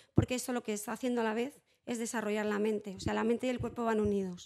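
Her intonation stays monotone and flat, and the woman's pitch is fairly high. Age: 40s. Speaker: psychologist and early childhood educator. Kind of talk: interview.

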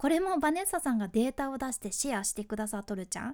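A woman's high-pitched voice with a dark, mellow tone, very wide pitch swings and a Fukuoka accent. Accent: Hakata dialect. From Fukuoka (Hakata), Japan. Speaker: freelance announcer, podcast host. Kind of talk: solo podcast explainer.

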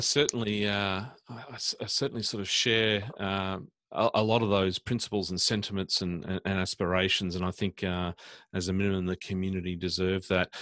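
A man with an Australian accent speaks in a fairly low pitch with a bright, sharp tone and ordinary pitch variation, in a dry, close sound with no echo. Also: moderate pace. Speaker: podcast host, smart cities council director. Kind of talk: interview.

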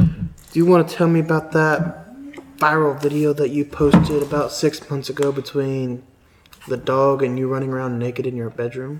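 A man speaks quietly at a moderate pace, his fairly high pitch held in fairly even intonation, with noticeable background noise behind him. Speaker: streamer playing party game. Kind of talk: casual game chat with role-play.

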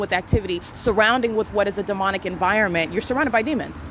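With an American accent and an angry tone, a woman talks at a very fast pace with ordinary pitch variation over noticeable background noise. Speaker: podcaster documenting alleged stalking. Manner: angry, accusatory.

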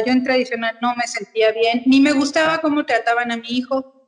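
Her pitch is high and her intonation fairly even as the woman talks at a moderate pace. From Mexico City. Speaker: Montessori educator. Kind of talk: interview.

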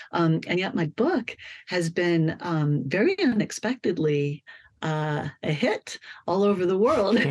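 Pitched fairly low, a woman speaks at a fairly slow pace with lively intonation. The sound is dry and close, with no echo. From Colorado. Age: 50s. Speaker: novelist. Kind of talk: interview. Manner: animated.

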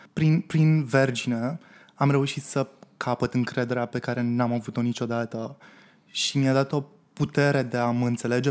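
Delivered at a fairly slow pace, a plain, everyday voice keeps to fairly even intonation. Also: man. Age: 20s. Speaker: drag performer. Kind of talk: interview.

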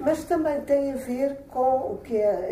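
The room echo is audible. Background noise is noticeable too. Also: woman. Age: 70s. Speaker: retired history teacher, amateur actor. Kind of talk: interview.

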